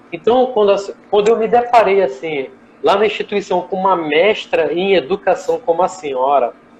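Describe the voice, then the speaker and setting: Speech moves along at a moderate pace while noticeable background noise sits beneath it. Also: man, high pitch for a man. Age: 20s. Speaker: chef and gastronomy professor. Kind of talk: live online interview. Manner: casual, conversational.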